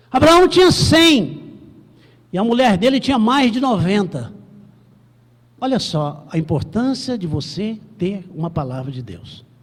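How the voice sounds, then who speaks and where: Speaking at a fairly slow pace with long, frequent pauses, a man uses a high pitch with very wide swings. There is audible room echo. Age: 60s. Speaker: pastor. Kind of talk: sermon.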